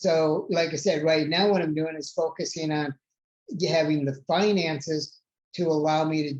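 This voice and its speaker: A man uses an ordinary speaking voice with a fairly high pitch. His pace is moderate and his intonation fairly even. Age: 60s. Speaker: podcast host. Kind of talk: casual chat.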